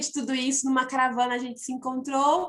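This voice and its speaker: A woman speaks with a northeastern Brazilian accent. Her pitch is high. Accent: noticeable northeastern Brazilian. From Piauí, northeastern Brazil. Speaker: missionary. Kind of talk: church testimony.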